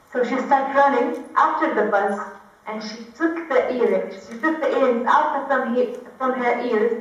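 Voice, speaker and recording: A woman's high voice comes at a moderate pace with ordinary pitch variation and big swings in loudness, amid noticeable background noise and audible room echo. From Kuwait. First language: Arabic. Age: 20s. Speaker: activist. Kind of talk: testimony. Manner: halting.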